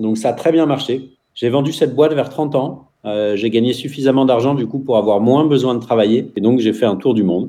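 A man speaks in a plain, everyday voice. He sits at a medium pitch with ordinary pitch variation. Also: fairly quick pace. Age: 40s. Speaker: entrepreneur and school founder. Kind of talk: radio interview. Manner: talkative, fast.

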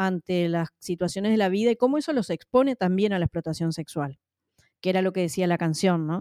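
A woman's voice with ordinary pitch variation and a dry, close sound with no echo. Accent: Uruguayan. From Uruguay. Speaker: social worker and singer. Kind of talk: interview. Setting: remote call.

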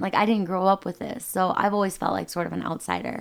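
Captured in a very clean recording with a silent background, a woman with an Upper Midwest accent speaks at a medium pitch. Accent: Upper Midwest American. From US Midwest. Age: 30s. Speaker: ski mountaineer. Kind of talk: podcast interview.

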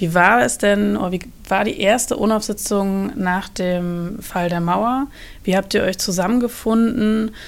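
At a fairly slow pace, a woman with an unremarkable speaking voice talks at a medium pitch with fairly even intonation. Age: 30s. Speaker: university social media editor hosting podcast. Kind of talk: interview.

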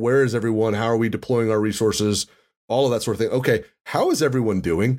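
A man speaks at a medium pitch with fairly even intonation in a plain, everyday voice. The recording is very clean, with a silent background. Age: 40s. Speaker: podcast host and physician. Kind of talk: casual interview chat; scripted sponsor read.

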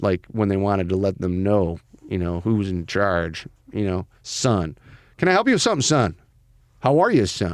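On a very clean recording with a silent background, a man with a fairly low pitch speaks in a plain, everyday voice at a moderate pace. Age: 40s. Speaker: podcast host. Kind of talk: casual chat.

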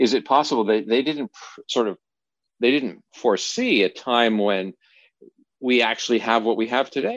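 In a very clean recording with a silent background and a dry, close sound with no echo, a man with a normal speaking voice at medium pitch speaks at a moderate pace with fairly even intonation. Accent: Canadian. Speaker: podcast host. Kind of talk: interview.

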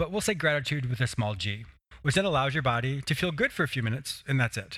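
In a very clean recording with a silent background, a man with a medium pitch speaks in a bright, sharp tone with lively intonation. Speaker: podcast host and psychotherapist. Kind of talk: interview and self-help talk. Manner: fast talker; enthusiastic, laughs often.

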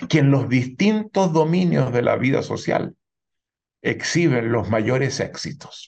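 Speaking at a fairly slow pace, a man with a fairly high pitch uses lively intonation and shows vocal fry. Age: 70s. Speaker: sociologist and author. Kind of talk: interview.

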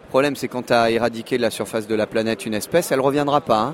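A very fast man's voice at medium pitch, with fairly even intonation over noticeable background noise. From Monaco. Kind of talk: interview.

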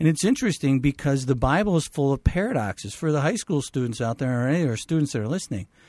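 A man speaks very fast with a fairly high pitch and lively intonation. The sound is dry and close with no echo, on a very clean recording over a silent background. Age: 50s. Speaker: physician. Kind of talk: radio talk show discussion.

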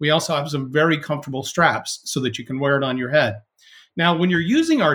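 A man with an American accent speaks at a fairly quick pace in a plain, everyday voice. His pitch is fairly high, with ordinary pitch variation. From US West Coast. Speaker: sales executive. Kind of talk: interview conversation. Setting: remote call.

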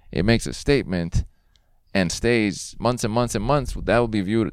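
Against a quiet background, a man speaks at a moderate pace with a fairly low voice. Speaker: podcast host. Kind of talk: casual interview chat. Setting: outdoors in a park. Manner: animated, presentational.

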